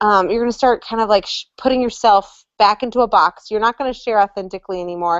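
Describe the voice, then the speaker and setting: With lively intonation, a woman talks at a fairly quick pace in a fairly high pitch. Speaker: direct sales top-rank consultant. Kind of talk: online training chat. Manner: fast.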